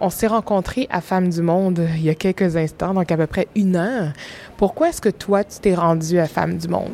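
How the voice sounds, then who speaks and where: Here a woman with a fairly low pitch and a normal speaking voice talks at a moderate pace with ordinary pitch variation. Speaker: podcast host. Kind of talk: narration and interview.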